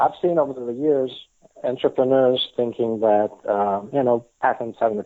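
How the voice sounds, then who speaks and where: Speaking in an Italian accent, a man keeps a moderate pace. His pitch is medium. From Italy. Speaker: patent attorney and author. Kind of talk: podcast interview. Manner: hesitant, many fillers.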